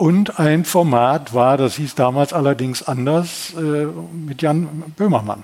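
This man talks at a very slow pace. His pitch is fairly high, with ordinary variation. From Ruhr area, Essen. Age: 70s. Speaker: retired TV journalist. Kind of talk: interview.

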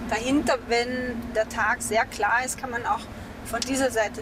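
Against noticeable background noise, a woman with fairly high pitch talks at a moderate pace with fairly even intonation. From Austria, Mittelburgenland. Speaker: novelist. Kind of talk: casual interview on location.

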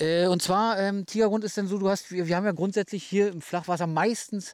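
Talking at a very fast pace, a man with a Berlin-Brandenburg accent has a high pitch. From Brandenburg (Hennigsdorf, near Berlin). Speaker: fishing guide. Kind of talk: casual chat. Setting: outdoors.

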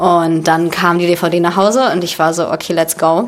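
A woman with a Russian accent talks at a moderate pace over noticeable background noise. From Berlin, Germany. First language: Russian (speaking German). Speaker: actress. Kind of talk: casual interview.

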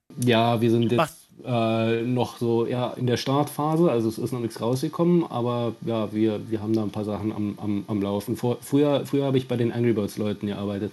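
Hardly pausing, a man talks at a moderate pace with a medium pitch and ordinary pitch variation, with noticeable background noise behind him. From Finland and Bavaria. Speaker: caller, TV producer. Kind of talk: casual chat.

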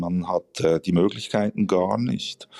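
On a dry, close recording with no echo, a man speaks in a dark, mellow tone at a fairly slow pace with fairly even intonation. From Switzerland. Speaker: novelist. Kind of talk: interview.

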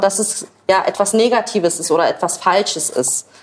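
A woman at medium pitch speaks with ordinary pitch variation over noticeable background noise. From Berlin, Germany. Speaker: social media creator, mother. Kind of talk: casual chat while cooking.

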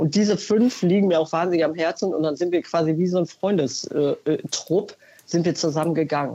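Her tone dark and mellow, a woman speaks at a fairly low pitch with ordinary pitch variation. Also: moderate pace, very even loudness. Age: 50s. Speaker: caller, consumer research employee. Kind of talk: phone-in testimony. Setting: phone call.

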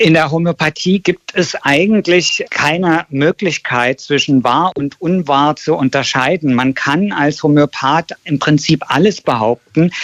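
An ordinary speaking voice at a fairly slow pace with hardly any pauses, ordinary pitch variation, and a dry, close sound with no echo. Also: man, fairly high pitch for a man. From Berlin. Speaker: documentary filmmaker. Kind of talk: radio interview.

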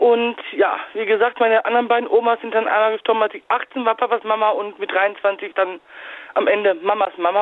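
Speaking fairly quickly in a normal speaking voice, a woman has a fairly high pitch. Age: 30s. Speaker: caller. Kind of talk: phone-in storytelling.

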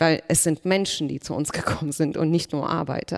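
A woman with an ordinary speaking voice, fairly even intonation and a fairly quick pace. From Germany, Berlin. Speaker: politician. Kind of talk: panel discussion.

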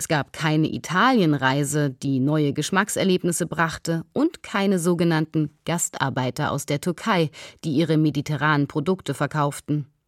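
A woman with a very deep, low pitch and ordinary pitch variation at a moderate pace, on a very clean recording with a silent background and a dry, close sound with no echo. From East Berlin, Germany. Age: 40s. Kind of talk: scripted narration.

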